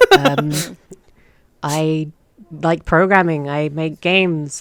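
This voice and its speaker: A woman with a British accent speaks in a very deep, low voice with monotone, flat intonation. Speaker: podcast guest, game developer. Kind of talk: casual chat.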